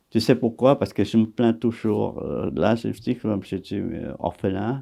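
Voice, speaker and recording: Male speech with vocal fry and lively intonation at a fairly slow pace. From Vietnam. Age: 80s. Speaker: actor. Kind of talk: interview answer.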